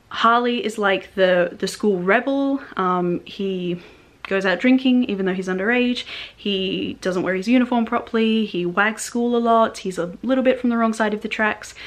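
With an Australian accent, a woman speaks at a moderate pace in a fairly high pitch, her pitch varying in an ordinary way. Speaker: book reviewer. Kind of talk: casual talk to camera. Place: home room.

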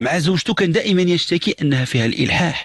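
A man's somewhat breathy voice with lively intonation, dry and echo-free against a quiet background. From Morocco. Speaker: psychologist answering callers; caller. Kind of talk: radio call-in advice. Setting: radio studio. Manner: animated. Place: studio.

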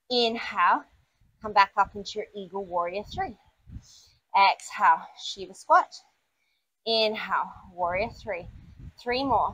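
Her tone is bright and sharp as this woman talks at a fairly slow pace, her loudness swinging widely, with long, frequent pauses and ordinary pitch variation. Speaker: yoga instructor. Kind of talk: guided yoga class, cueing poses and breathing. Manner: brisk, clipped, directive cues in a steady, energetic instructor rhythm; warm and encouraging, with a casual, self-deprecating tone in the intro.

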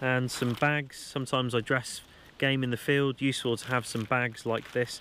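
Over light background noise, a man speaks at a moderate pace in a monotone, flat intonation, the sound dry with no echo. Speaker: bushcraft channel host. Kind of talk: gear show-and-tell tutorial. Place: forest.

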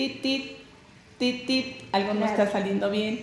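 With audible room echo and light background noise, a woman speaks at a fairly slow pace. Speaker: guest. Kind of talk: interview answer. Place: studio.

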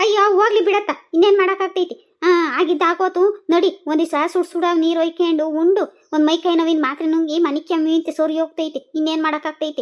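A woman's cartoonish character voice at an extremely high pitch, with fairly even intonation, a moderate pace and very even loudness. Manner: wailing, exclamatory.

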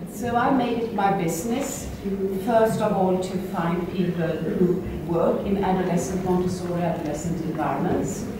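In a room with strong echo, a woman speaks over noticeable background noise. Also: moderate pace. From Sweden. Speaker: Montessori educator, workshop co-leader. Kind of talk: workshop discussion. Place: hall.

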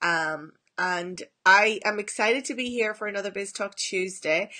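A woman's bright, sharp tone carries ordinary pitch variation over a quiet background. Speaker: business coach. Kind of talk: casual live stream chat. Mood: warm, cheerful, laughing. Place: home room. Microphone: phone near.

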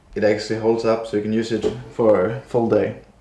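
The speech moves at a fairly slow pace, and audible room echo surrounds it. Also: man. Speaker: tech reviewer. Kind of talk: product unboxing narration. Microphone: phone near.

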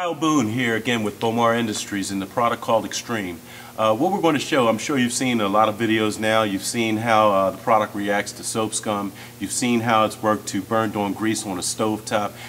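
With noticeable background noise present, a fairly low-pitched man speaks in fairly even intonation at a moderate pace. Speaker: product demonstrator. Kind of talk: sales pitch. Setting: demonstration on floor surfaces, video. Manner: informal, explanatory.

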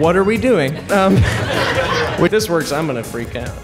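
Loud music plays in the background behind a man's voice. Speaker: comedian and magician. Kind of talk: live stand-up comedy magic show. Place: stage. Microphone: handheld.

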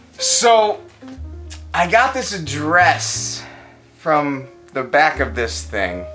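Music plays clearly in the background. Over it, a man talks. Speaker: actor in a comedic scene. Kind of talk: acted dialogue. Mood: confused, nervous, exaggerated. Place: home room. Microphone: phone near.

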